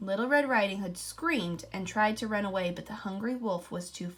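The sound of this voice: The pitch moves in an ordinary way. The delivery is an unforced reading voice.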